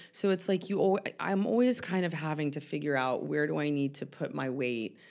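With an American accent, a woman speaks at a moderate pace, her pitch very deep and low, with vocal fry and lively intonation. The recording is very clean and the background silent. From US South, Atlanta. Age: 40s. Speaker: mental health worker in recovery. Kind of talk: casual chat. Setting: studio.

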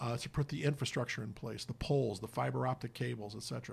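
A man with an American accent talks at a very fast pace. His voice is somewhat breathy. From Indiana (Hammond, Chicago area). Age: 50s. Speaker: nonprofit executive, former priest. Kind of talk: radio interview. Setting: radio studio.

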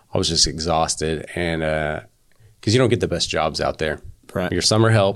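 An American accent at a moderate pace. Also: man, very deep, low pitch for a man, ordinary pitch variation. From western Oklahoma. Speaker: business owner. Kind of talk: casual interview.

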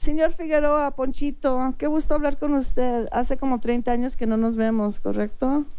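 Her voice high in pitch with a dark, mellow tone, a woman speaks with hardly any pauses in a room with audible echo. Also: ordinary pitch variation, moderate pace. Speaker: radio show host. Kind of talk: casual radio talk show.

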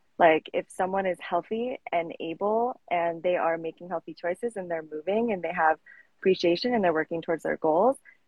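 A woman with a plain, everyday voice and an American accent speaks at a fairly quick pace, fairly low in pitch with ordinary pitch variation. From Colorado, US. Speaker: fitness coach. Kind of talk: casual interview. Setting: live stream.

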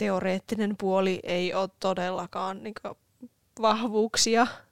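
In an ordinary speaking voice, a woman talks at medium pitch and a fairly slow pace with fairly even intonation, the sound dry and close with no echo. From Oulu, Finland. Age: 20s. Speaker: podcast co-host. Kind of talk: casual chat.

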